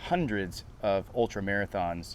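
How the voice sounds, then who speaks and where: With a plain, everyday voice, a man speaks at a fairly low pitch with ordinary pitch variation. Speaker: TV show host. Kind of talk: show intro to camera.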